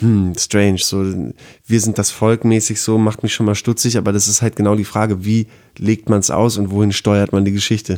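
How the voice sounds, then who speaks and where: The speaker is a man. His tone is dark and mellow. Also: very clean recording, silent background. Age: 30s. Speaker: music journalist. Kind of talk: casual chat.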